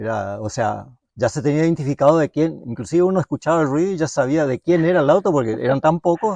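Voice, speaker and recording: A man's fairly high voice, very fast, with lively intonation and a dry, close sound with no echo. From Misiones, northeast Argentina. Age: 60s. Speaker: mechanic, workshop owner. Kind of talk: interview, life story. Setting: at home. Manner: halting, many fillers.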